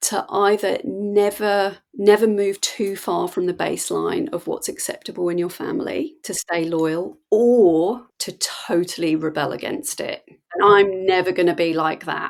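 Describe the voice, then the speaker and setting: A woman with an English accent at a medium pitch, lively intonation, and a fairly slow pace. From England. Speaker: mindset coach. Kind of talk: podcast conversation.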